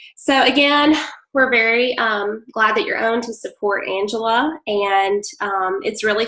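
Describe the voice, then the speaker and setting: A woman with a strong Southern US accent speaks at a fairly slow pace, her fairly high pitch showing ordinary variation. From Mississippi. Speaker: direct-sales presenter. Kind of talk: online sales presentation. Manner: hesitant, many fillers.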